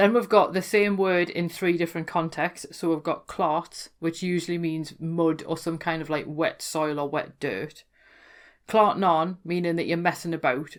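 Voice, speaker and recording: A woman with a Geordie accent and a fairly low pitch speaks at a moderate pace with fairly even intonation in a very clean recording with a silent background. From Newcastle, North East England. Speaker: folklore podcaster. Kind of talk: casual explanatory talk to camera.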